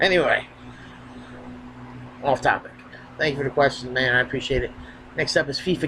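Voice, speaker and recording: Fairly quick in pace and fairly even in intonation, a man speaks with long, frequent pauses. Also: fairly high pitch for a man. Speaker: wrestling youtuber. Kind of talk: casual q and a vlog. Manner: filler-heavy.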